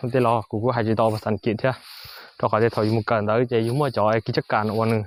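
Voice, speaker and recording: Recorded dry and close with no echo, a man with a northern Vietnamese accent speaks with fairly even intonation. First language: Hmong (speaking Vietnamese). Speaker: vlogger, farmer. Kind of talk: casual vlog narration. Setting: outdoors on a farm. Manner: halting, many fillers.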